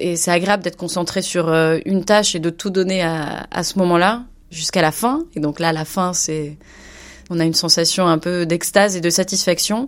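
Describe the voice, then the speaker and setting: The recording is very clean with a silent background as a woman speaks in a fairly low pitch with fairly even intonation. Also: moderate pace. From France, Bordeaux. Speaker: media agency manager. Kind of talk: interview. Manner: halting, many hesitations.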